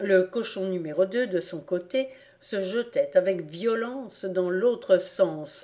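Pitch varies in an ordinary way here. The voice is a natural reading voice.

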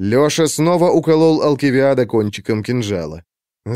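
The background remains quiet. Someone reads aloud in a natural voice.

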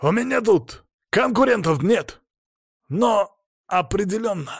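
A man does a put-on character voice, high-pitched with a slightly husky edge and vocal fry. He speaks slowly with lively intonation.

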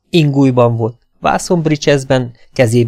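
An unforced reading voice with ordinary pitch variation and a quiet background.

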